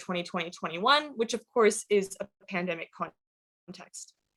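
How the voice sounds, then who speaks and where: Lively intonation marks the medium-pitched voice of a woman. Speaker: activist and PhD researcher. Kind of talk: keynote lecture. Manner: fast.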